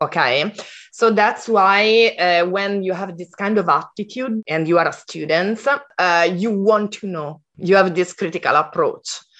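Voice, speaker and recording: A woman with an Italian accent speaks at a medium pitch and moderate pace in a quiet background. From Italy. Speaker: design program leader and educator. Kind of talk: interview. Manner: halting.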